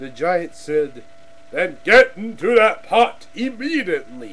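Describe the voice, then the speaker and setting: A man puts on a character voice with a high pitch. He goes at a fairly slow pace over clear background noise. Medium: read story.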